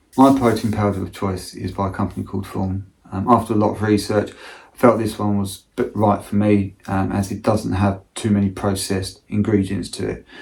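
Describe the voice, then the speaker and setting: Speaking with a British accent, a man has a fairly low pitch and a monotone, flat intonation. His pace is moderate, and his loudness swings widely. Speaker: amateur ultra runner. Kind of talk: casual talk to camera.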